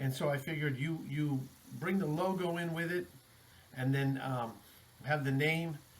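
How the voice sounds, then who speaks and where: Amid noticeable background noise, a man with an American accent speaks at a fairly high pitch, leaving long, frequent pauses. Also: ordinary pitch variation, moderate pace. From Texas, El Paso. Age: 40s. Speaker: rock drummer and band founder. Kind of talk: podcast interview. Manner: casual, filler-heavy.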